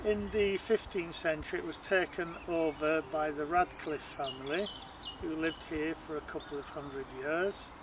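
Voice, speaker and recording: Noticeable background noise accompanies a man talking at a moderate pace at a fairly high pitch, with ordinary pitch variation. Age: 60s. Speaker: wildlife photographer. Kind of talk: documentary interview. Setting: outdoors in gardens. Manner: hesitant, many fillers.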